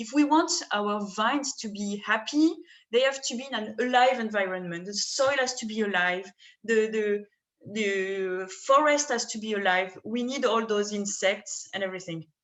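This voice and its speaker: A woman with a French accent, moderate pace and ordinary pitch variation. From France, southern Rhône. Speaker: winemaker. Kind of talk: wine tasting presentation.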